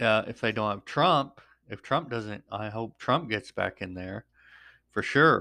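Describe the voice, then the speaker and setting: A man's bright, sharp voice at medium pitch, with ordinary pitch variation and a fairly slow pace. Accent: American. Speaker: podcast host. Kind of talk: solo news commentary monologue. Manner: halting, many filler ums.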